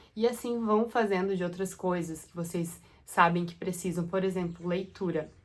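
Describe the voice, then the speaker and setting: With a medium pitch, a woman speaks in a monotone, flat intonation. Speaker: makeup artist and content creator. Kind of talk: casual vlog talk to camera.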